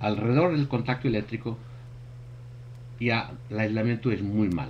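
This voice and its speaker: Somewhat breathy, a man's voice moves at a fairly slow pace with fairly even intonation. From Portugal. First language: Portuguese (speaking Spanish). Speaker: thermography expert presenter. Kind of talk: webinar presentation. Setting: online webinar. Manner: halting.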